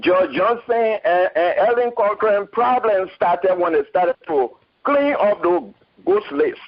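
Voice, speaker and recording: At a fairly slow pace, a man with a high pitch uses lively intonation and very even loudness. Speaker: caller. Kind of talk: call-in comment. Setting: phone call.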